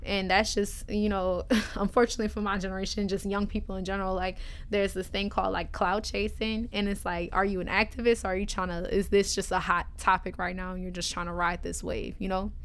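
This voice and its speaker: At a fairly quick pace, a woman with a New Orleans accent talks in a monotone, flat intonation. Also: medium pitch for a woman. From New Orleans, Louisiana. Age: 20s. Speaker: college student and rapper. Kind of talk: casual chat.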